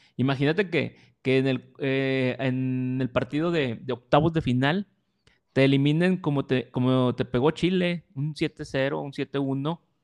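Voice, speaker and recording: In an unremarkable speaking voice, a man talks at a fairly slow pace with fairly high pitch and ordinary pitch variation, the sound dry and close with no echo. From Mexico. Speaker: podcast co-host. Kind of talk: casual chat.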